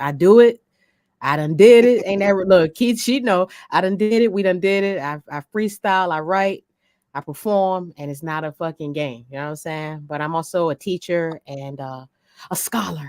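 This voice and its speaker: In an American accent, a woman uses an ordinary speaking voice, fairly low in pitch with lively intonation and big swings in loudness, recorded dry and close with no echo on a very clean, silent background. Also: moderate pace. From Virginia, Norfolk. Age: 40s. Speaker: rapper and DJ. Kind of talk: interview.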